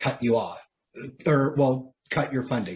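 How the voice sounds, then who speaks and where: Somewhat breathy, a man with a Canadian accent speaks at medium pitch and moderate pace with fairly even intonation. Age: 30s. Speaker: person with lived experience of poverty. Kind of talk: interview.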